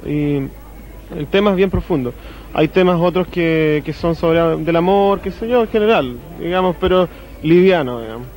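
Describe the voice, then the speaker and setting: Ordinary pitch variation, dry sound with no echo and light background noise. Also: man. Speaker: rock songwriter. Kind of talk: TV interview. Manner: halting. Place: cafe. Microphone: handheld.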